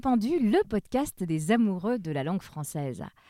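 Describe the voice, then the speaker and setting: This woman's dark, mellow voice moves at a moderate pace through very wide pitch swings. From half French Caribbean heritage. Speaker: podcast host. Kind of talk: scripted presenting and interview.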